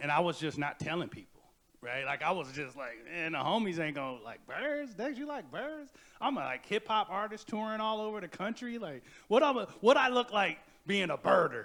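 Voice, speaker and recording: With a bright, sharp tone, the voice moves at a fairly quick pace through very wide pitch swings and big shifts in loudness. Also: man, high pitch for a man. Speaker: birder and educator, keynote speaker. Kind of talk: Q&A answer. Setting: lecture hall with audience. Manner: energetic.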